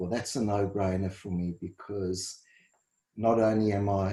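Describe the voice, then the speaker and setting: A man speaks with a South African accent at a fairly low pitch, somewhat breathy and in a monotone, flat way. The recording is very clean, with a silent background. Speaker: dietitian and first responder. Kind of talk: interview. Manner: halting, repeats words.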